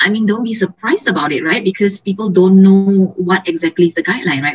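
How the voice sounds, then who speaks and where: The voice is somewhat breathy and moves at a fairly quick pace. Its intonation stays fairly even. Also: woman. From Malaysia. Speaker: image consultant. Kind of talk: interview.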